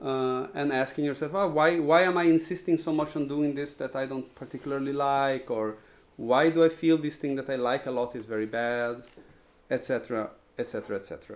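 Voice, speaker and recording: With a Portuguese accent, a man talks fairly quickly in a fairly high voice with ordinary pitch variation. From Brazil. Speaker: composer. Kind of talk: lecture. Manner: halting, many repetitions and fillers.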